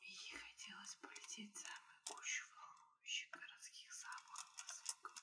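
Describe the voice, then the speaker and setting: A woman whispers at a fairly slow pace. Her tone is soothing. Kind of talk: ASMR whispered bedtime story reading. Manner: whispered, soothing.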